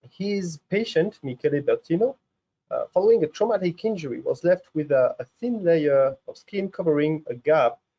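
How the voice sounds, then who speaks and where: Lively intonation and a moderate pace mark this speech in a French accent. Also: man. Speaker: research scientist, professor. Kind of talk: science webinar lecture. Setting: video webinar. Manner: halting, many fillers.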